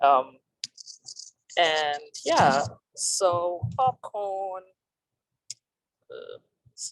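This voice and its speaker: Intonation rises and falls in a lively way at a very slow pace, with long, frequent pauses. The sound is dry and close, with no echo. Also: woman, fairly low pitch for a woman. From Zimbabwe. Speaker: doctoral student and teaching assistant. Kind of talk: self-introduction. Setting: video call while on the road. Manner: hesitant, many fillers.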